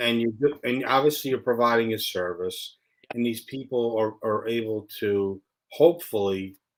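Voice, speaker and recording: On a very clean recording with a silent background, a man talks at a moderate pace and medium pitch with ordinary pitch variation in a plain, everyday voice. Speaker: show host. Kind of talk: casual talk show hosting.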